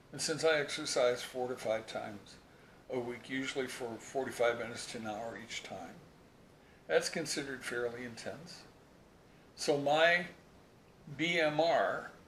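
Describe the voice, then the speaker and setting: Audible room echo colors the recording. The man's voice sits at a medium pitch. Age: 70s. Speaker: health educator. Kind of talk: tutorial. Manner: casual.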